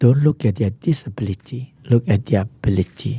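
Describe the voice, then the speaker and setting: A man's medium-pitched, somewhat breathy voice with a dark, mellow tone, a Singaporean accent and a moderate pace. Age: 60s. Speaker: social entrepreneur. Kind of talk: interview.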